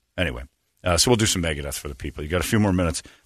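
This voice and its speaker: Vocal fry and lively intonation with an American accent. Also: man. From Northwest Indiana. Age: 40s. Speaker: radio morning show host. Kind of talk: casual chat. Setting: studio.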